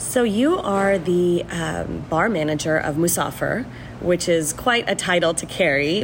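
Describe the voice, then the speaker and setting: Woman with an American accent, fairly low pitch and ordinary pitch variation, at a fairly slow pace amid noticeable background noise. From Houston, Texas. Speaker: food writer and podcast host. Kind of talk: casual interview over food tasting; scripted narration.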